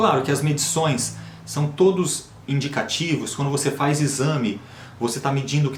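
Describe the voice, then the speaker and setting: A man with a fairly high pitch talks amid noticeable background noise and audible room echo. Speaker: health and diet vlogger. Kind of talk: casual monologue to camera. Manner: natural, unforced delivery.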